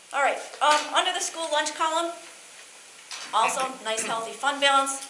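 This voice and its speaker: A woman's fairly quick speech with ordinary pitch variation, audible room echo and noticeable background noise. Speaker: auditor. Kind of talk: financial report presentation. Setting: school board meeting. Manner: fast.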